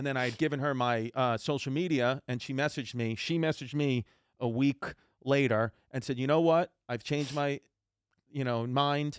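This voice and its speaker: A man with a New York accent, medium-pitched and at a moderate pace, with fairly even intonation and a dry, close sound with no echo, on a very clean recording against a silent background. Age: 30s. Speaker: comedian. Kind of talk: casual chat.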